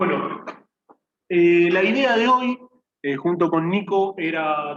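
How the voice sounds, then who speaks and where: The speaker is a man. His voice is high-pitched. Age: 30s. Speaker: lawyer and lecturer. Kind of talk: lecture.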